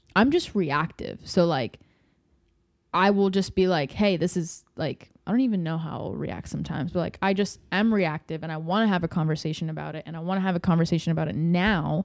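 Fairly quick and animated, a woman speaks at a fairly low pitch with ordinary pitch variation. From Latin American family background. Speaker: podcast co-host on relationships. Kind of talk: casual chat. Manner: animated, laughs often.

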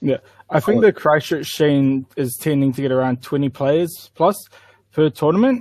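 At a moderate pace, a man talks with a fairly high pitch and ordinary pitch variation, in a dry, close sound with no echo. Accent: New Zealand. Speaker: tabletop wargaming player. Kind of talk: casual chat. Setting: video call.

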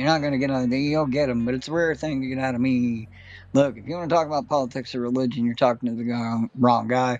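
A man talks at a very fast pace against a quiet background. His pitch is medium and his intonation fairly even. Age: old. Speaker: podcast host. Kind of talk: casual chat. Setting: studio.

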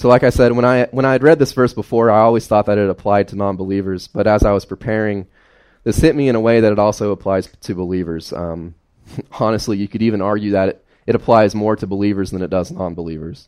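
Speaking with an Appalachian accent, a man has a fairly low pitch. He talks very fast, with ordinary pitch variation. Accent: Appalachian Southern US. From US South, southwestern Virginia (Carroll County). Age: 20s. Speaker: lay preacher. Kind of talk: sermon. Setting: church.

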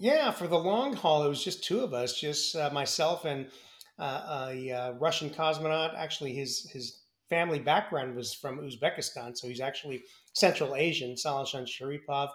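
At a moderate pace, a man with a fairly high pitch uses a normal speaking voice with ordinary pitch variation. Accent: American. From US, San Francisco Bay Area. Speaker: former astronaut. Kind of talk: interview.

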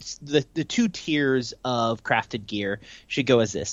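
The delivery is fairly slow, with lively intonation. It is a normal speaking voice. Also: man. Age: 20s. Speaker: gaming podcast co-host. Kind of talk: casual chat. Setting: video call.

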